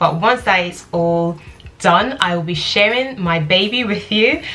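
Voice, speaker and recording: A woman with a London accent, fairly low in pitch, at a moderate pace. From London, UK. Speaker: lifestyle vlogger. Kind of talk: casual Q&A vlog.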